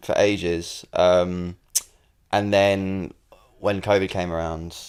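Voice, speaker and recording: A man's very deep, low voice in a London accent, very slow and monotone, with flat intonation. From South London, England, Irish family. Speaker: singer-songwriter. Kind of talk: casual interview. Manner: hesitant, many fillers.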